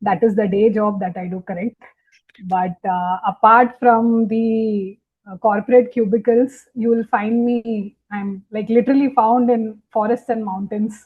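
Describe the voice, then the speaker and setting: Delivered at a fairly slow pace, the speech is somewhat breathy and its intonation fairly even. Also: woman, fairly high pitch for a woman. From India, Mumbai. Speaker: wildlife photographer. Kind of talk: casual interview conversation.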